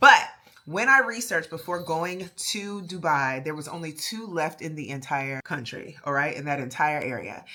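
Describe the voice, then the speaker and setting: The speaker has a Baltimore accent and an animated tone at a moderate pace. Intonation is lively, with big swings in loudness. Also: woman, fairly low pitch for a woman. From Baltimore, US. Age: 30s. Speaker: fragrance YouTuber. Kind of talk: product review.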